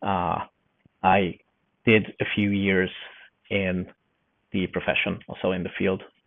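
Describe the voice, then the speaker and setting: A man with a slight Hungarian accent speaks at a very deep, low pitch with monotone, flat intonation. His pace is fairly slow, with long, frequent pauses. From Hungary. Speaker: forester and newsletter journalist. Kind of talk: podcast interview. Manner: hesitant, many fillers.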